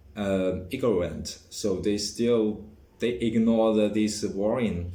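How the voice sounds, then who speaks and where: With a dark, mellow tone and fairly even intonation, the voice moves at a very slow pace, and room echo is audible. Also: man. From China. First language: Chinese. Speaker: vlogger. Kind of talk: personal vlog monologue. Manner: halting, many fillers and restarts.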